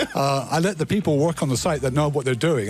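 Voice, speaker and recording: Ordinary pitch variation in very fast delivery, set against noticeable background noise. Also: man. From United States. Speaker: company CEO. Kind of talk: radio interview. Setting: radio studio.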